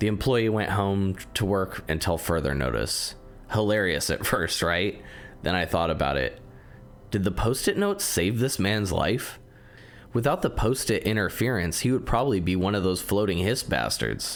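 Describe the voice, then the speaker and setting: A man's fairly low-pitched voice with vocal fry, lively intonation and a moderate pace. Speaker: video game critic. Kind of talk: video essay narration.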